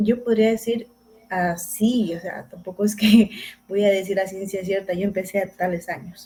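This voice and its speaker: A woman with an ordinary speaking voice and a medium pitch speaks at a moderate pace with fairly even intonation. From Ecuador, rural Zamora province. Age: 30s. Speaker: recovering addict guest, university student. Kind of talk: personal testimony interview.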